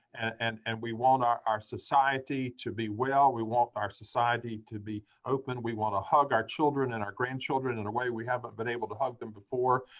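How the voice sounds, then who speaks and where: A man's medium-pitched voice at a fairly quick pace, monotone and flat, with hardly any pauses. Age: 70s. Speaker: church association director. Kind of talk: panel discussion.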